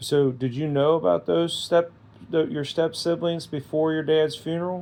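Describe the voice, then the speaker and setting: A man's fairly high-pitched voice with a dark, mellow tone and fairly even intonation. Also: moderate pace. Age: 60s. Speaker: family interviewer. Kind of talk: casual family chat.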